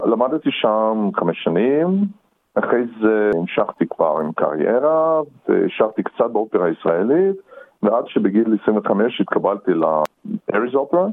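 A man with a Russian accent at a very slow pace, very wide pitch swings, and very even loudness. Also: medium pitch for a man. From Russia (Perm), raised in Israel from teens. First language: Russian (speaking Hebrew). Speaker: opera singer. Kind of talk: interview.

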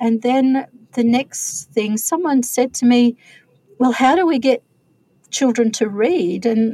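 Somewhat breathy, a woman speaks with a dark, mellow tone. Her pace is fairly slow. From Australia, remote outback (NT/Queensland border). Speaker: author. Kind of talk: interview.

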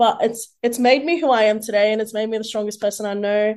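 The speaker has an Australian accent and talks at a moderate pace against a quiet background. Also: woman. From Sydney, Greater Western (Mount Druitt). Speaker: social media influencer. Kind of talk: interview. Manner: hesitant with many fillers.

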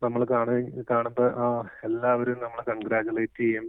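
Flat and monotone, a man speaks at a medium pitch. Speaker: hospital worker, immigrant interviewee. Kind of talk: interview soundbite.

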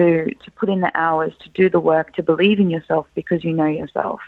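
A woman talks at a fairly quick pace, her intonation fairly even. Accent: Australian. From Australia, Lebanese family. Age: 20s. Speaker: scholarship recipient, graduate. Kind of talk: interview.

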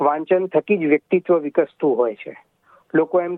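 With fairly even intonation, a man has an unremarkable speaking voice pitched fairly high. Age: young. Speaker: writer and translator. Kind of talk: interview.

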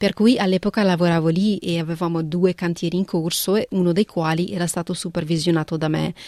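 Against a quiet background, a woman speaks at a fairly quick pace with a fairly low pitch and fairly even intonation. Her tone is dark and mellow, and the sound is dry and close with no echo. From northern Italy, raised there from age 11 after early childhood in Punjab. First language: Punjabi (speaking Italian). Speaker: art restorer. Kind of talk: interview. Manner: halting, with frequent repetitions.

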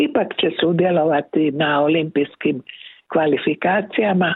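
At a very slow pace, a woman speaks in a very deep, low pitch with ordinary pitch variation. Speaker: correspondent. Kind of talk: news report.

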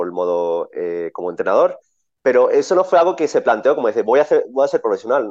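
The background stays quiet while a man delivers his words at a fairly quick clip. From Spain. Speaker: tennis coach. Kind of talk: interview. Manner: halting.

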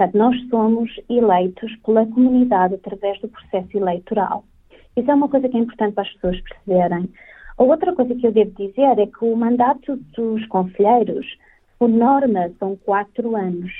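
A woman with a normal speaking voice talks at a moderate pace, her pitch fairly high with ordinary pitch variation. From northern Portugal, Vila Nova de Famalicão. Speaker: community council representative. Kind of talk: interview.

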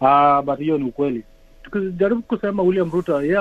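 A man talks with ordinary pitch variation. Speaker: Kenyan community member, political supporter. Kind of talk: panel discussion. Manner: halting.

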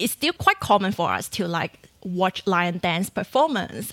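A woman's fairly bright tone carries ordinary pitch variation.

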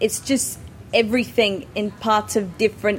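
This woman's pitch is fairly high. She talks with an Australian accent. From Adelaide, South Australia. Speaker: tennis player. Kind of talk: interview.

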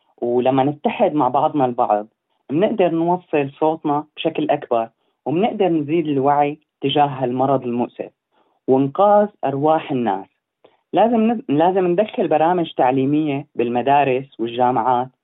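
A man with a Syrian accent, fairly high in pitch, moderate in pace, lively in intonation and very even in loudness. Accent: Levantine Syrian Arabic. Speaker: medical student. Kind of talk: interview. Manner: halting.

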